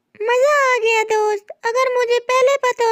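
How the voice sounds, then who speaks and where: A woman puts on a cartoonish character voice with monotone, flat intonation. She speaks at a fairly slow pace with a dry, close sound and no echo. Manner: gentle, earnest.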